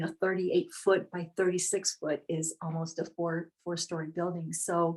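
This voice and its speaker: Someone with an ordinary speaking voice talks at a moderate pace. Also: woman. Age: 60s. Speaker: painter. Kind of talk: interview.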